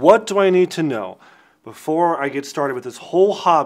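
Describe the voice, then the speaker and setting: A man talks at a fairly quick pace with lively intonation over a quiet background. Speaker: presenter. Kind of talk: tutorial. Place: studio.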